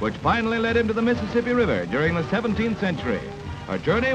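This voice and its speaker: Over clear background music, a man with an American accent talks very fast at a high pitch with lively intonation. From United States. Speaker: newsreel narrator. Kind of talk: 1940s newsreel narration. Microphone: old recording.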